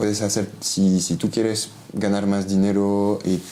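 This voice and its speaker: Someone with a French accent speaks at a fairly slow pace amid noticeable background noise. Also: man. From Belgium. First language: French (speaking Spanish). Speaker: criminologist. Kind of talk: interview. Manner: halting, many fillers and restarts.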